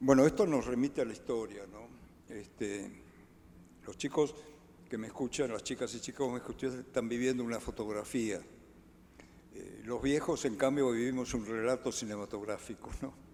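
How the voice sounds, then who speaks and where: Long, frequent pauses break up a man's dark, mellow, medium-pitched voice, which keeps fairly even intonation at a moderate pace while its loudness swings widely. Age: 80s+. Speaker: political scientist, author. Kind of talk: book presentation discussion.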